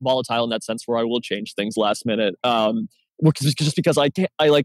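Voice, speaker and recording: Delivered at a very fast pace with lively intonation, the speech has a dry, close sound with no echo. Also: man. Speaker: board game player, masterclass guest. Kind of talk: casual discussion. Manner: halting, many fillers and restarts.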